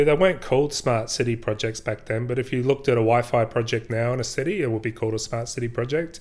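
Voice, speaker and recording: Very clean recording with a silent background, featuring a man in an Australian accent and ordinary pitch variation. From South Australia, rural southeast. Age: 40s. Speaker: IT executive. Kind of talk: interview.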